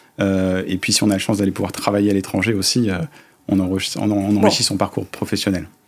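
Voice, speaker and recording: Over noticeable background noise, a man talks at a very fast pace. His fairly low voice stays monotone and flat. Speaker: company director. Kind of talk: interview. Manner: hesitant with many fillers.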